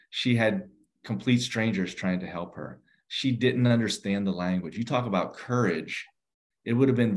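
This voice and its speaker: An ordinary speaking voice, a man with an American accent and lively intonation at a moderate pace over a quiet background. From Western Pennsylvania, near Pittsburgh. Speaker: nonprofit executive director. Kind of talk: interview.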